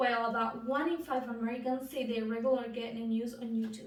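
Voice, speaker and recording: Speaking at a fairly quick pace, a woman uses a high-pitched voice with a Spanish accent. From Bolivia. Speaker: student. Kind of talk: class speech.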